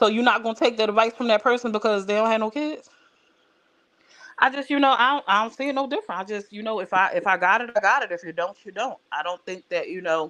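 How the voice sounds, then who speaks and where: Loud and very fast, a woman speaks in a bright, sharp tone. Her fairly high pitch shows ordinary variation. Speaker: live stream host. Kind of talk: casual chat.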